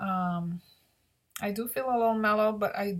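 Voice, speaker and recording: The recording is very clean, with a silent background. A woman talks at a moderate pace in a somewhat breathy voice. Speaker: vlogger reviewing CBD. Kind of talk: personal video diary. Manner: halting, many fillers and repeats.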